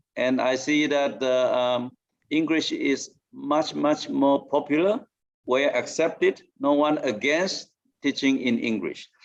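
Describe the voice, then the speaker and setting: Very slow and at very even loudness, a man speaks with a Mandarin accent. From Taiwan. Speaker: professor. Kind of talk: debate speech. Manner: halting, many fillers.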